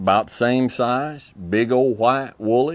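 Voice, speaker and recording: Recorded very cleanly over a silent background, a man speaks in a rural Texas accent. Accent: Southern US (Texas) rural. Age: middle-aged. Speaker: ranching school instructor. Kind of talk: casual talk to camera. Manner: slow and easy; halting, many fillers and repeats.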